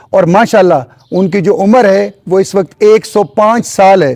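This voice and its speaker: With ordinary variation in his pitch, this man talks in a high register. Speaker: interviewer, show host. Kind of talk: show intro to camera.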